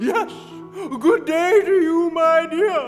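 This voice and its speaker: A put-on character voice over clear music in the background. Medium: stage play. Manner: curt, languid.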